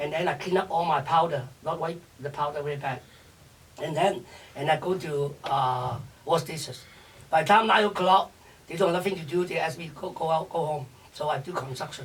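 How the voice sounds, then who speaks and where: A man with a Chinese accent, fairly high-pitched, at a fairly quick pace over noticeable background noise. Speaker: chef and restaurateur. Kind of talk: interview. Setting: radio show. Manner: energetic, fast.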